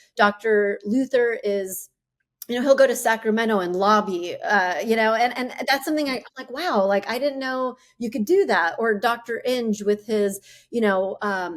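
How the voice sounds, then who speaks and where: Here a woman speaks at a fairly high pitch with ordinary pitch variation. Her pace is moderate. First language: Arabic. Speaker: dentist and chief dental officer. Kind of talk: interview. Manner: halting, many fillers.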